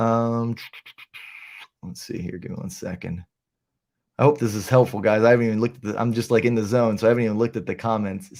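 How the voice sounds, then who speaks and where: On a very clean recording with a silent background, a man talks at a fairly quick pace with a medium pitch. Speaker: real estate agent and video tutor. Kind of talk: live screen-share tutorial. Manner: fast.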